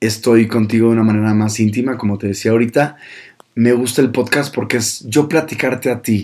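A man with a medium pitch speaks with a northern Mexican accent. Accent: northern Mexican (Monterrey) Spanish. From Mexico, Monterrey (north). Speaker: podcast host, communicator, former radio presenter. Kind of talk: casual solo monologue.

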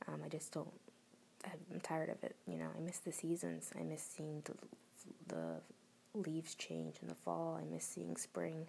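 A quiet voice with an American accent, broken by long, frequent pauses. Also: moderate pace. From Florida, US. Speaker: podcaster reading own writing. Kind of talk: casual monologue. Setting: at home at night. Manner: halting, many fillers.

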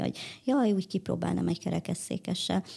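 Here a woman talks at a moderate pace. The recording is very clean, and the background is silent. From Hungary. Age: 30s. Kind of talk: interview.

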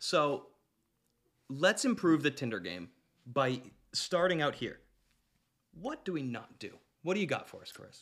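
A fairly high-pitched male voice with vocal fry, very wide pitch swings, big swings in loudness, a fairly slow pace, and long, frequent pauses. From Canada. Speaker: podcast host. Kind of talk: casual chat.

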